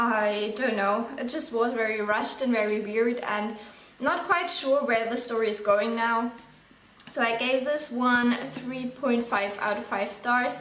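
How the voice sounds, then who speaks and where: A woman with a non-native accent and fairly high pitch speaks at a fairly slow pace with ordinary pitch variation. Audible room echo and noticeable background noise are present. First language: not English. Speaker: book vlogger. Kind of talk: casual book review monologue. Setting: indoors in bright sunlight, video. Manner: casual with frequent fillers.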